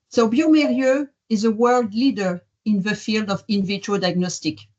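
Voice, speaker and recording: A woman with a French accent speaks at a moderate pace, her medium-pitched voice somewhat breathy. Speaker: diagnostics company executive. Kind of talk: opening remarks.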